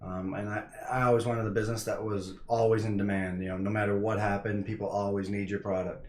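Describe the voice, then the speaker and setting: Talking at a very fast pace in an American accent, a man keeps a monotone, flat intonation while audible room echo surrounds him. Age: 20s. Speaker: real estate investor. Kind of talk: casual vlog talk. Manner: halting, many fillers.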